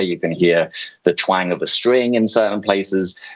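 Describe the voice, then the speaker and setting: A man's very deep, low voice in a British accent, at a moderate pace with ordinary pitch variation. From UK. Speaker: music streaming executive. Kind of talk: presentation. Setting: video call. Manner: hesitant, many fillers.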